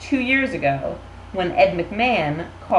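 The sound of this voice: The clip is spoken in an unforced reading voice.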